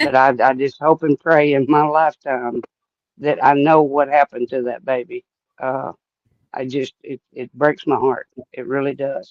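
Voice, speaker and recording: Monotone, flat intonation marks this man's fairly high voice. The sound is dry and close, with no echo. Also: moderate pace. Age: 70s. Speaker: longtime follower of a missing child case. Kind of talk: casual chat.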